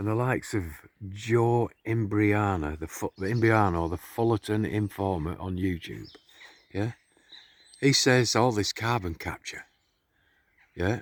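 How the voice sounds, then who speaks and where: At a moderate pace, a man talks quietly with a fairly low pitch and ordinary pitch variation. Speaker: conspiracy vlogger. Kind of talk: casual monologue to camera. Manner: quiet, kept low.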